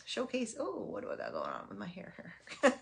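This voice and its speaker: A woman is speaking. Her voice carries some vocal fry. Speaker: stamping and papercraft demonstrator. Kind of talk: tutorial. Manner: casual, frequent um fillers.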